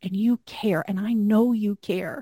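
At a moderate pace, a woman with a medium pitch and a dark, mellow tone speaks somewhat breathily with fairly even intonation, in a dry, close sound with no echo. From Arkansas. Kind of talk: casual conversational faith podcast.

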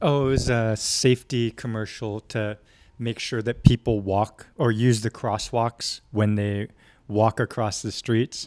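A man in an ordinary speaking voice talks at a fairly slow pace and medium pitch with fairly even intonation and big swings in loudness, the sound dry and close with no echo on a very clean recording with a silent background. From San Diego, California, US. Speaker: actor. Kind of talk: casual interview.

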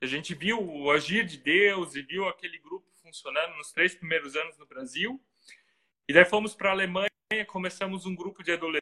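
A man with a high pitch and a Santa Catarina accent speaks in a raised, projected voice at a fairly quick pace, with ordinary pitch variation and big swings in loudness. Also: dry, close sound with no echo. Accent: southern Brazilian, Santa Catarina. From Brazil, Santa Catarina. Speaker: pastor and missionary. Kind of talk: casual interview.

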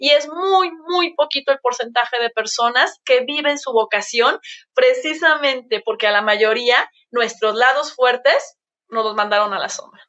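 This woman has a high pitch and an animated tone. She talks at a fairly slow pace with ordinary pitch variation. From Mexico, Guadalajara. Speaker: emotional coach and semiotics consultant. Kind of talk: casual chat.

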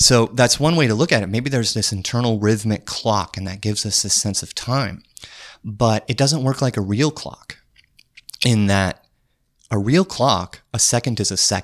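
A man with an American accent speaks at medium pitch and a moderate pace, with ordinary pitch variation. His is an unremarkable speaking voice. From US Upper Midwest (North Dakota). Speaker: neuroscience researcher. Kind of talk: casual interview conversation. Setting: in person at guest's workplace.

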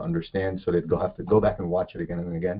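A man is talking here. His pitch is very deep and low. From Egyptian heritage. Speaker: film director. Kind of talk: casual interview. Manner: upbeat.

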